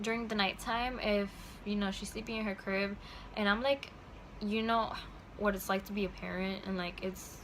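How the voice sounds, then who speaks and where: A woman's fairly quick, monotone, flat delivery in a room with audible echo. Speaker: parenting vlogger. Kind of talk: product recommendation vlog. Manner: fast; casual with many fillers.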